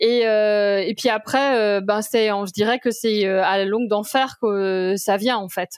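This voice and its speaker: On a very clean recording with a silent background, a woman with a fairly high pitch speaks at a fairly slow pace with fairly even intonation. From France, Brittany. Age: 40s. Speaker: corporate lawyer and film critic. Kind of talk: interview podcast. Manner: hesitant, many fillers.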